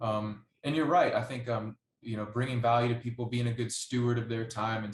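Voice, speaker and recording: In a monotone, flat intonation, a man talks at a moderate pace and a medium pitch. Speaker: podcast host. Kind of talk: podcast interview host talk.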